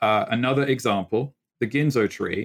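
A man speaks with a slight British accent. His pitch variation is ordinary. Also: dry, close sound with no echo. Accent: faint British. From England. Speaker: video game composer. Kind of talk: casual interview chat. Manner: rambling, long answers.

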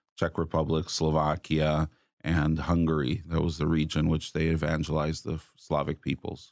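With an American accent, the speaker keeps a moderate pace and a monotone, flat intonation. The recording is very clean, with a silent background. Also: man. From US Midwest, Chicago. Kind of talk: casual chat. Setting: studio.

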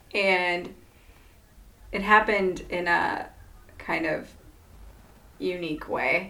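A woman with a slight Iowa accent talks at a very slow pace, leaving long, frequent pauses, her medium-pitched voice bright and sharp in tone with vocal fry. Her intonation stays monotone and flat. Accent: Iowa twang, slight. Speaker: podcast host. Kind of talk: casual interview.

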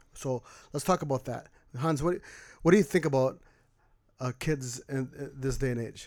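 A man with a fairly high pitch talks at a moderate pace, his pitch varying in an ordinary way. He leaves long, frequent pauses, and the recording is very clean with a silent background. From Mexican-American background. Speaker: podcast guest. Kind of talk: casual chat.

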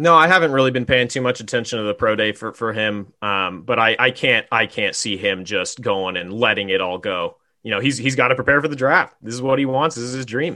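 At a fairly quick pace and with hardly any pauses, a man with a plain, everyday voice speaks at a medium pitch with ordinary pitch variation. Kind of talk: sports analysis podcast chat. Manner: casual, stat-heavy, repeats words while thinking.

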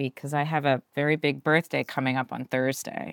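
A woman with a very deep, low pitch speaks at a moderate pace. The recording is very clean with a silent background and a dry, close sound with no echo. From Pennsylvania, near Philadelphia. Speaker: actress. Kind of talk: casual interview.

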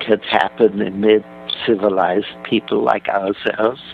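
The speaker talks at a fairly slow pace over noticeable background noise. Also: man. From Germany. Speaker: author. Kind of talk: interview.

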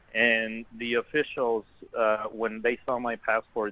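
A man with an American accent, medium pitch and monotone, flat intonation. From Texas, The Woodlands. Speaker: guest traveler in Paris. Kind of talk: interview. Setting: phone or video call from Paris.

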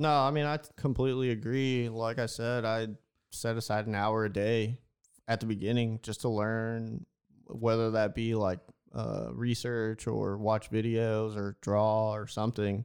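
A man talks at a fairly slow pace with an American accent, medium pitch, and fairly even intonation. It is an ordinary speaking voice over a quiet background. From Houston, Texas. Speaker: graffiti artist. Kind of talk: casual interview. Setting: studio.

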